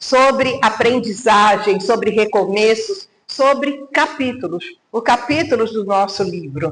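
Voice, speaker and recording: A woman speaks at a very slow pace with a fairly high pitch. Her intonation is lively. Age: 70s. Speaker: mentor and speaker. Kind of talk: motivational talk.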